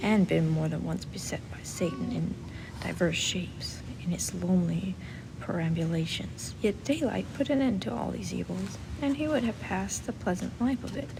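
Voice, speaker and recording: A woman whispers in a soft-spoken way. Noticeable background noise sits behind her. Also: moderate pace. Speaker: audiobook reader. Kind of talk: literary audiobook reading. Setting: recorded in a library. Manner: very quiet, whispered-soft, ASMR style.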